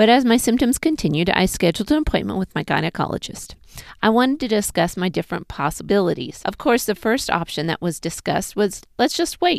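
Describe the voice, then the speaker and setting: A woman speaks at a medium pitch and a fairly quick pace, her pitch swinging very widely, with vocal fry. The sound is dry and close with no echo, on a very clean recording with a silent background. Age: 40s. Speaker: pelvic floor physical therapist. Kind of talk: personal health vlog monologue.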